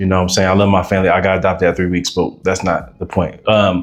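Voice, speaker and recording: A man speaks extremely fast while music plays behind him. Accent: American. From Aurora, Colorado. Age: 20s. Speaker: rapper. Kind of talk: podcast interview. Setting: library. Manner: casual, halting with fillers.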